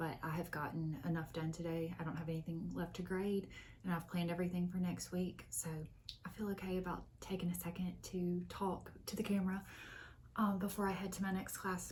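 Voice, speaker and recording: Quiet and somewhat breathy, the voice moves at a fairly quick pace in a monotone, flat intonation, with audible room echo. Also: woman, fairly low pitch for a woman. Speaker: book vlogger and college teacher. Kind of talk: casual vlog talk. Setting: office at work.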